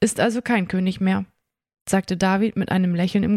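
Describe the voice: Plain reading aloud with fairly even intonation. The background is quiet.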